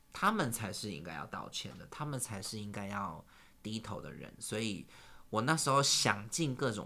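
The man's pitch is fairly low, yet his tone is bright and sharp. He talks at a fairly slow pace with lively intonation. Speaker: singer and entertainer. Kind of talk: casual chat.

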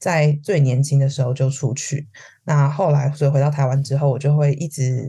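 A woman's dark, mellow, somewhat breathy voice, very deep and low in pitch, at a fairly quick pace. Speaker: HR consultant. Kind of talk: casual interview chat.

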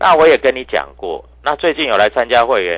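The pace is moderate. The background is quiet. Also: man. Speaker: stock market analyst. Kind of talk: market commentary and sales pitch. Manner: animated.

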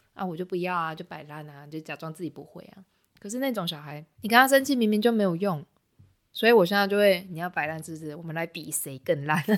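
Speaking very fast with a fairly low pitch, a woman uses lively intonation and big swings in loudness on a very clean recording with a silent background. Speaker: art teacher. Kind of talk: casual chat.

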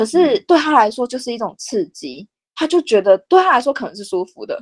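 Her pitch swings very widely as the woman talks at a fairly quick pace. The sound is dry and close, with no echo. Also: very clean recording, silent background. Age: 30s. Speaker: special education teacher. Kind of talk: interview.

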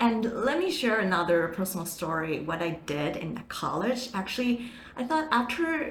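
Noticeable background noise and audible room echo surround a woman with a Chinese accent. She speaks at a fairly slow pace and a fairly high pitch. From Taiwan. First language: Mandarin Chinese. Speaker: marketing manager. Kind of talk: interview. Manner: animated.

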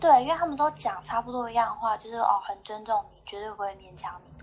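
At a fairly quick pace, a woman talks in an unremarkable speaking voice, fairly high in pitch with lively intonation. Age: 30s. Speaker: podcast guest sharing dating stories. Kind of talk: casual chat.

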